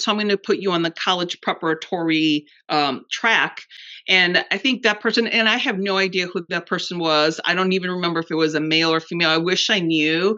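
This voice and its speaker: A woman speaks with a Spanish accent at a fairly low pitch. Her pace is fairly quick. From Mexico and Texas. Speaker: podcast host. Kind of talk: casual interview chat.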